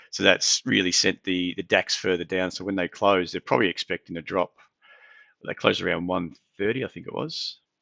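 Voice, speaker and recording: A man speaks with an Australian accent in a very deep, low voice at a fairly quick pace. His intonation stays fairly even against a quiet background. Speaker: market analyst, trading live-stream host. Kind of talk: live market analysis stream. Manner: casual, conversational with fillers.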